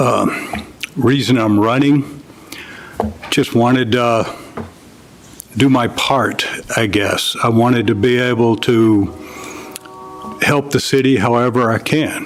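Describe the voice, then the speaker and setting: With a Southern US accent, a man speaks at a very slow pace with long, frequent pauses, fairly even intonation and very even loudness, over noticeable background noise. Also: medium pitch for a man. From US South, Louisiana. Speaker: city council candidate, retired electrician. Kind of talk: candidate speech.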